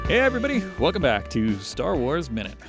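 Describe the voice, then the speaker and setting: A man speaks at a fairly quick pace while music plays in the background. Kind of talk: casual podcast discussion.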